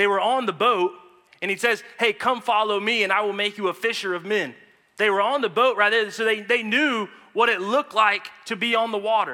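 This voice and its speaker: Projecting a raised voice, a man speaks at a fairly quick pace with a high pitch, a bright, sharp tone and fairly even intonation. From United States. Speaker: guest preacher. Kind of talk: sermon. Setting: church.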